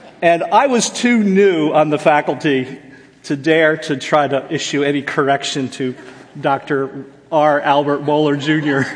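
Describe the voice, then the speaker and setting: A man speaks with an American accent at a fairly high pitch and a fairly slow pace. His pitch varies in an ordinary way over noticeable background noise. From US Northeast, Jersey Shore, New Jersey. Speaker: professor of biblical counseling. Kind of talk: seminar lecture.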